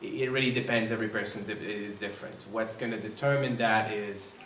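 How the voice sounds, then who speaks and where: A man with a French Canadian accent speaks at a fairly quick pace and medium pitch. Audible room echo and noticeable background noise surround his voice. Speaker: occupational therapist. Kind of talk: lecture. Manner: hesitant, many fillers.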